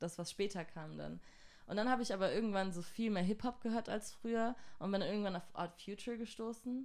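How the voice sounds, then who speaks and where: With an ordinary speaking voice, a woman talks at a fairly quick pace, medium in pitch and with ordinary pitch variation. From southern Germany (Göppingen near Stuttgart). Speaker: singer-songwriter. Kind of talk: casual interview. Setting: studio.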